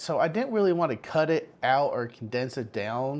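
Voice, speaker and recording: The recording is very clean, and the background silent. In it, a man talks fairly slowly. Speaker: vlogger. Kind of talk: casual vlog monologue. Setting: home kitchen. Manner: animated.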